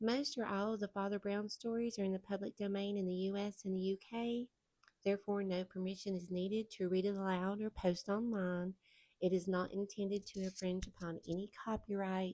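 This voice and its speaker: A woman with a Southern US accent speaks at a moderate pace in a dark, mellow tone. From Southern United States. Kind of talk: casual talk to camera.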